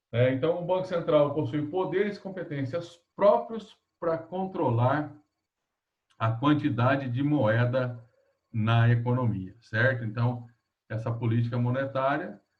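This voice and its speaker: Audible room echo surrounds a man's somewhat breathy, medium-pitched voice. He speaks at a fairly slow pace with lively intonation. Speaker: economics lecturer. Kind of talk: online lecture. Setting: video call class.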